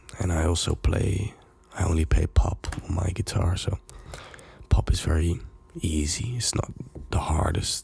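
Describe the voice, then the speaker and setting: A soft-spoken man with a very deep, low pitch talks with ordinary pitch variation and long, frequent pauses over noticeable background noise. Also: fairly slow pace. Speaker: music producer and DJ. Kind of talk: ASMR talk to camera.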